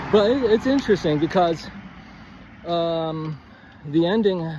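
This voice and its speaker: A man's high-pitched voice with lively intonation. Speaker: writing coach. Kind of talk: casual instructional monologue. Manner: halting, self-correcting; quiet, close to mic.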